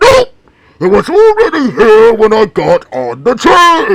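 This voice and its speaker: A put-on character voice delivers the words at a fairly slow pace. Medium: solo performance. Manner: upbeat, exclamatory.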